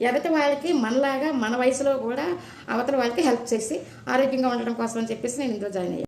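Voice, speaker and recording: Noticeable background noise sits behind the speaker. She is a woman with a high voice. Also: ordinary pitch variation. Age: 70s. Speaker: retired head nurse. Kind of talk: street interview answer.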